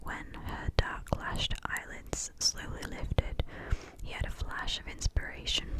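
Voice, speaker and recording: Whispering against noticeable background noise, a woman sounds breathy at a fairly slow pace. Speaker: ASMR creator. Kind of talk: ASMR book reading. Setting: close-up binaural microphone recording. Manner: whispered, soft, breathy.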